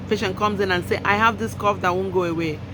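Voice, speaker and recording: Noticeable background noise and audible room echo surround a woman speaking at a medium pitch with ordinary pitch variation. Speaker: clinician educator. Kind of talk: lecture. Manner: fast; emphatic.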